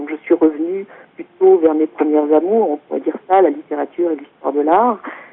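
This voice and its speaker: A very deep, low-pitched woman's voice at a moderate pace, with noticeable background noise. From France. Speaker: author and intercultural consultant. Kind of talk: talk presentation. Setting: teleconference. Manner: hesitant, many fillers.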